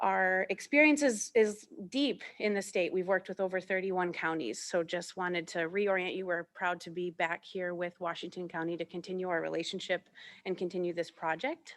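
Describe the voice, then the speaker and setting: Recorded very cleanly with a silent background, a woman speaks at a moderate pace with a medium pitch and ordinary pitch variation. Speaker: architecture firm principal. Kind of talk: presentation at a county meeting. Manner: loud.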